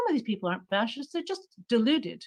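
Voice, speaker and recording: A woman with an American accent, high pitch and very wide pitch swings. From United States. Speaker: conference participant, socialist activist. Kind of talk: conference floor speech. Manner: animated.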